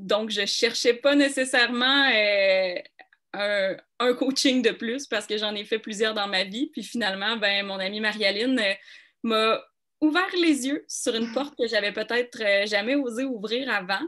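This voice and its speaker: A woman with a Quebec accent speaks at a fairly slow pace. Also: fairly high pitch for a woman, ordinary pitch variation. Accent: Québécois. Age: 30s. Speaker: coaching client. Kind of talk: testimony.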